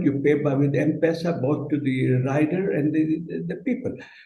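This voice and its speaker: Fairly high-pitched and somewhat breathy, a man speaks with a dark, mellow tone, fairly even intonation, and a fairly slow pace, with audible room echo around him. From Kenya. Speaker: business leader. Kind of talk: panel discussion. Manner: halting.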